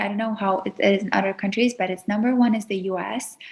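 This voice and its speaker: Somewhat breathy, a woman with an Azerbaijani accent speaks at a fairly high pitch with ordinary pitch variation. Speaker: YouTuber, etiquette teacher. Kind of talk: podcast interview.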